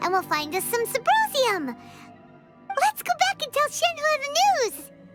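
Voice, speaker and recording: In a put-on character voice at an extremely high pitch, the speaker sounds energetic and excited, swinging very widely in pitch over faint background music. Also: moderate pace. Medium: video game. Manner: energetic, fast, excited.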